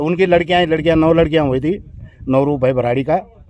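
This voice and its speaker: With fairly even intonation, a man speaks at a fairly high pitch as noticeable background noise continues. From Uttarakhand, Garhwal hills. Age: 60s. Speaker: local villager. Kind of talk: storytelling interview. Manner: halting.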